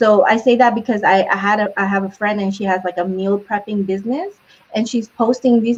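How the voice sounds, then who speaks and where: Noticeable background noise sits under a fairly quick delivery with fairly even intonation. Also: woman. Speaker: marketing advisor. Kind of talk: casual chat.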